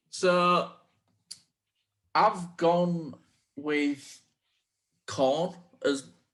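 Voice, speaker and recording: A man talks with a strong Yorkshire accent. His pitch varies in an ordinary way. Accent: thick Yorkshire. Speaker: podcast co-host. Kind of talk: casual chat.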